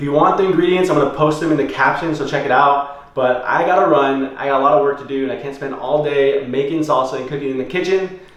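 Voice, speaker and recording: A man's fairly high voice at a very fast pace with hardly any pauses, plus audible room echo and noticeable background noise. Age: 20s. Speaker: vlogger and clothing brand owner. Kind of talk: casual vlog. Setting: at home. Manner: whispering; casual, upbeat.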